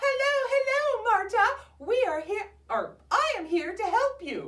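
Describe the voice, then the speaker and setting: A woman puts on a character voice. It is squeaky and extremely high in pitch. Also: fairly slow pace. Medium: read story. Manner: sweet, singsong.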